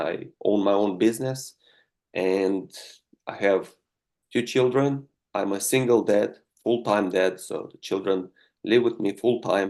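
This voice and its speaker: A man with a Romanian accent speaks at a fairly slow pace in a fairly low pitch. His intonation stays fairly even over a quiet background. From Moldova. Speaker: political candidate, business owner. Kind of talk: interview. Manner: halting, many fillers.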